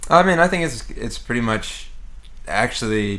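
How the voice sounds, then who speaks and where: A man's voice with an American accent and audible room echo. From Texas, Houston. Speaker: jazz bassist. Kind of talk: casual chat.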